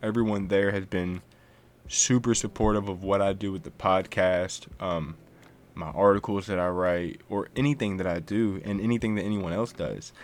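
A man with a plain, everyday voice, fairly low pitch, ordinary pitch variation and a moderate pace. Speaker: podcast host. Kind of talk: casual interview chat. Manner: friendly, upbeat.

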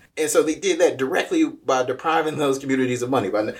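A man with an unremarkable speaking voice, lively intonation and a fairly quick pace. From Kansas City, Missouri (US Midwest). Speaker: nonprofit founder and army veteran. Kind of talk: interview.

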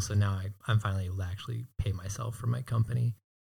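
Somewhat breathy and fairly low in pitch, a man speaks at a very fast pace with monotone, flat intonation. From Hawaii. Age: 20s. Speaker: videographer and business owner. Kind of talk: casual interview.

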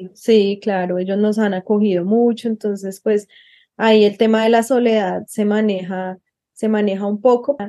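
This woman's voice sits at a medium pitch, with a dark, mellow tone. She speaks at a moderate pace in a monotone, flat delivery. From Colombia. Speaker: asylum seeker. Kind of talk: interview.

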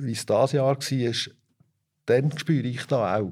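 Someone speaks at a fairly slow pace in a very clean recording with a silent background. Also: man. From Switzerland, Fricktal (Aargau). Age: 50s. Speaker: organic dairy farmer. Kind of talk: interview. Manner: hesitant with filler sounds.

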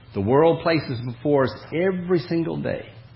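A man speaks at a moderate pace with a fairly high pitch and lively intonation. Room echo is audible. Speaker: preacher. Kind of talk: sermon.

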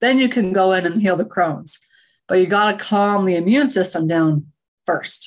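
In a normal speaking voice with an American accent, the speaker keeps a moderate pace and very even loudness. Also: woman, medium pitch for a woman, ordinary pitch variation. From Utah. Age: 30s. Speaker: functional medicine practitioner. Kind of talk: interview.

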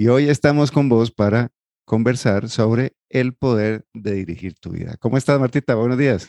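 A man at medium pitch with a dark, mellow tone, moderate pace, ordinary pitch variation, quiet background and dry, close sound with no echo. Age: 40s. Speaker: psychologist and financial coach, podcast co-host. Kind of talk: casual chat. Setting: studio recording, 7am on a Saturday.

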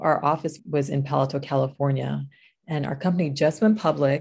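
Against a quiet background, a woman with an American accent speaks at a moderate pace in a very deep, low pitch with ordinary pitch variation. Her voice is somewhat breathy, with a dark, mellow tone. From New York. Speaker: podcast co-host and stroke survivor. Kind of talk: personal testimony.

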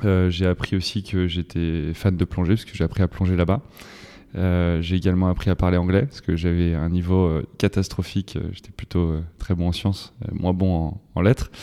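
Very deep and low in pitch, a man's dark, mellow tone holds fairly even intonation. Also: moderate pace. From western France (Vienne, Loudun). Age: 30s. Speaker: startup CEO and co-founder. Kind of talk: interview conversation. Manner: hesitant, many fillers.

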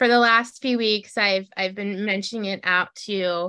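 Pitch varies in an ordinary way. The tone is bright and sharp. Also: woman. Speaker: podcast host. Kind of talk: casual interview. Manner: animated.

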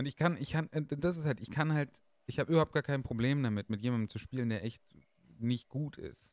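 A man speaks at a fairly quick pace in an ordinary speaking voice, with medium pitch and ordinary pitch variation. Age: 30s. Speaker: podcast host. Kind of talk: casual chat.

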